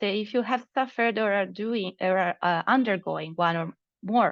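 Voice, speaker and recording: This is an ordinary speaking voice at a moderate pace, with ordinary pitch variation. The background is quiet. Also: woman. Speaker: project presenter. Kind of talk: online meeting presentation.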